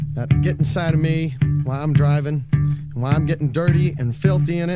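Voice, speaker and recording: Music plays in the background as a man talks. His pitch is fairly high and his intonation fairly even. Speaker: punk musician reading poetry. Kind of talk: spoken word poetry. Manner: casual, rough-spoken.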